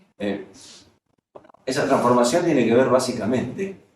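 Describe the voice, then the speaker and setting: Audible room echo surrounds a man whose intonation is lively. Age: 60s. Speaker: professor and management consultant. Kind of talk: lecture.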